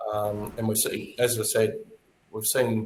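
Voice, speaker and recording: A somewhat breathy man at medium pitch, flat and monotone, in an Australian accent. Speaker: tourism authority executive. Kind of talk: webinar panel discussion.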